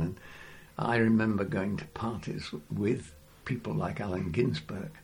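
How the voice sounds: Slow speech with vocal fry and a slightly mellow tone, in an English accent, with audible room echo. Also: man.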